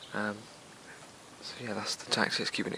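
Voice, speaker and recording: A soft-spoken man with an English accent. Noticeable background noise runs under his voice. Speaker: fishing vlogger. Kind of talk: casual vlog narration. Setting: outdoors by a lake. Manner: quiet, soft-spoken; hesitant, many fillers.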